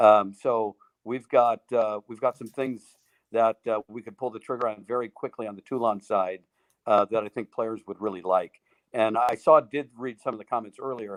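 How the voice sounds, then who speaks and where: Against a quiet background, a man at medium pitch speaks at a moderate pace with big swings in loudness, the sound dry and close with no echo. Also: fairly even intonation. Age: 60s. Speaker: golf equipment executive and putter designer. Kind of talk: live interview Q&A. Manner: halting, many fillers.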